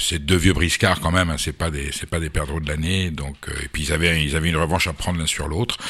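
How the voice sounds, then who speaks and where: A man with a very deep, low voice talks at a very fast pace with hardly any pauses. His intonation is fairly even, and there is noticeable background noise. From France, Basque Country. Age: 60s. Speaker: food journalist and politician. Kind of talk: radio interview.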